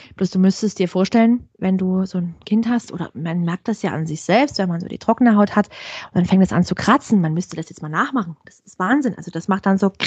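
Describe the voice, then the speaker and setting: Somewhat breathy, a woman talks at a fairly quick pace with hardly any pauses and ordinary pitch variation. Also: medium pitch for a woman, dry, close sound with no echo. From Saxony, Ore Mountains (eastern Germany). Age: 30s. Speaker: blogger and mother of a child with eczema. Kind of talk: casual interview.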